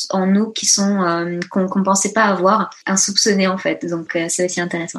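A woman talks at a moderate pace in a medium pitch. Her intonation is monotone and flat. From grew up partly in a dictatorship abroad, then France. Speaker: business coach for entrepreneurs. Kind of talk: casual interview chat. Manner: hesitant with many fillers.

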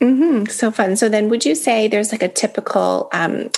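A woman's fairly high voice with vocal fry, lively intonation and a moderate pace. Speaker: podcast host. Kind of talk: casual interview.

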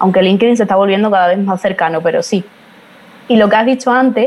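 Her medium-pitched voice shows ordinary pitch variation as the woman speaks over noticeable background noise. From Spain, Badajoz (Extremadura). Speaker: social media marketing strategist. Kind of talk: interview.

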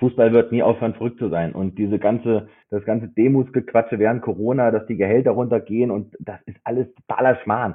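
At a very fast pace, a man speaks with a monotone, flat intonation at medium pitch. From northern Hesse, Kassel district. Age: 30s. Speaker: football transfer reporter. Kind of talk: casual interview.

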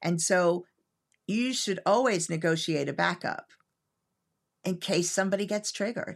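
Speaking at a moderate pace with vocal fry, a woman uses ordinary pitch variation and takes long, frequent pauses. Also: medium pitch for a woman. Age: 60s. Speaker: psychologist and sex therapist. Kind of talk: interview.

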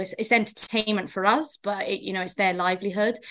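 Speaking at a fairly quick pace, a woman with a Welsh accent uses a medium pitch. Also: quiet background. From Wales. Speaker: football pundit. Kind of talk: casual chat.

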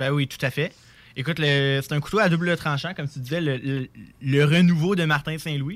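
A man's fairly high voice at a moderate pace, with fairly even intonation and an ordinary speaking voice. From Quebec City. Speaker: student podcaster. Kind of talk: casual chat.

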